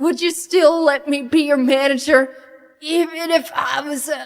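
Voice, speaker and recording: Pitched high, a woman does a cartoonish character voice at a moderate pace. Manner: self-pitying, resentful.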